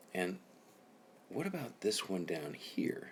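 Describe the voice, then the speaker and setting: His pitch swings very widely. The man's voice carries vocal fry. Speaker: math teacher. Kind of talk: tutorial. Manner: casual, conversational.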